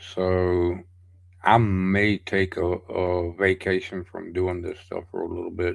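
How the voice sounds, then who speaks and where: A man's very deep, low-pitched voice at a very slow pace, in monotone, flat intonation. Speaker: livestream host running song challenges. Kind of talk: casual livestream chat. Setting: livestream. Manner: halting, many fillers and restarts.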